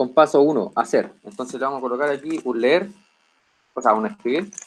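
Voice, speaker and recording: Moderately paced, a man talks with a fairly high pitch. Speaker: teaching assistant. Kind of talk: lecture.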